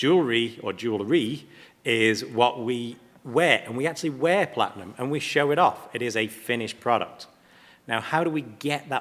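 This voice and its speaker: A man with an English accent speaks at a moderate pace with ordinary pitch variation. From England. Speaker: platinum refining company representative. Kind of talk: panel presentation.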